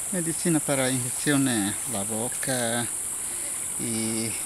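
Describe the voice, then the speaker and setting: Speaking at a very slow pace, a man sounds dry with no echo against noticeable background noise. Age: 50s. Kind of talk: interview answer. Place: waterside. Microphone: phone near.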